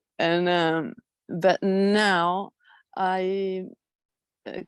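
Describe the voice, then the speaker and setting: A woman's medium-pitched voice in a Spanish accent. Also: dry, close sound with no echo. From Spain. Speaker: airline pilot sharing experiences. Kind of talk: personal testimony in group video meeting. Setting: video call. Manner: halting, many fillers.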